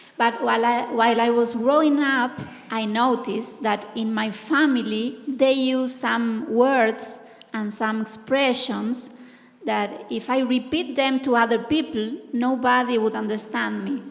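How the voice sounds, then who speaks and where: Against noticeable background noise, a woman speaks at a fairly slow pace, with a fairly high pitch and fairly even intonation. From Argentina. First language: Spanish. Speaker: poet and professor. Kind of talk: panel discussion.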